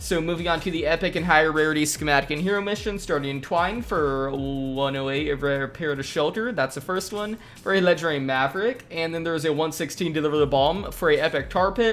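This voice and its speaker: Over music in the background, the speech races at a very fast pace with hardly any pauses. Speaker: gaming YouTuber. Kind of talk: gaming update commentary. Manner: casual, quick.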